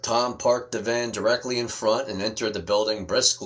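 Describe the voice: The intonation stays fairly even as the text is read aloud plainly.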